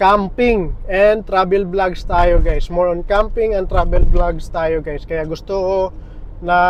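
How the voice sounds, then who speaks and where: A man speaks very slowly with fairly even intonation. Room echo is audible. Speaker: vlogger. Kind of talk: casual vlog talk. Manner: halting. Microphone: small clip-on mic, camera far away.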